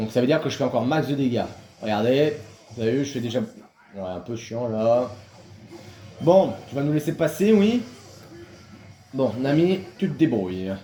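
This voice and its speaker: Over music in the background, a man talks at a medium pitch with lively intonation and long, frequent pauses. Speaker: gaming youtuber. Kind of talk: gameplay commentary. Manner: fast.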